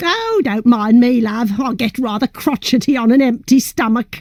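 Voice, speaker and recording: A woman's voice, high-pitched, delivered at a moderate pace. She speaks in a put-on character voice. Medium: video game. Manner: chatty, laughing, calls others love.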